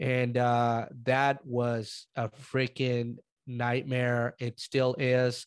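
A man's medium-pitched voice at a very slow pace, flat and monotone in intonation. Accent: Spanish. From Mexico. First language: Spanish. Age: 30s. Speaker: real estate investor. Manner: casual, chatty.

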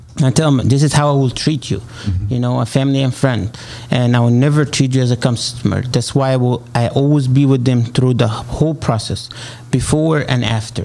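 A man's medium-pitched voice at a fairly quick pace, with fairly even intonation and noticeable background noise. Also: very even loudness. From Egypt. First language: Arabic. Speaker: real estate agent. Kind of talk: interview.

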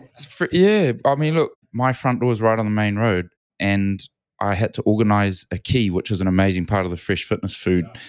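Recorded very cleanly against a silent background, with a dry, close sound and no echo, a man with a New Zealand accent speaks at a fairly quick pace and a fairly low pitch. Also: ordinary pitch variation. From New Zealand, Auckland. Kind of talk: casual chat.

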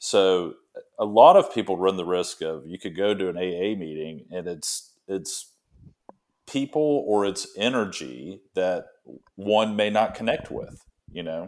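In an American accent, the speaker talks at a fairly slow pace with ordinary pitch variation and big swings in loudness, on a very clean recording with a silent background. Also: man, fairly low pitch for a man. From Alabama, US South. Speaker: recovering alcoholic, former beer sales rep. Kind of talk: casual interview, recovery story. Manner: halting, frequent repetitions.

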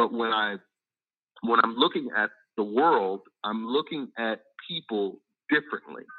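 Speaking with an American accent, a man keeps a medium pitch, ordinary pitch variation and a moderate pace. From US. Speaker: documentary producer. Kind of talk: call-in radio. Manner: halting.

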